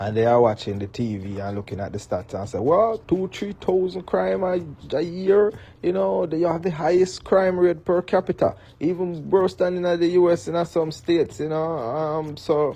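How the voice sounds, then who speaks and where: In a Jamaican accent, a man speaks at a moderate pace with a high pitch. His tone is dark and mellow, and his pitch swings very widely. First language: Jamaican Patois. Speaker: political commentator. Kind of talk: commentary monologue. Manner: mixes standard English and patois.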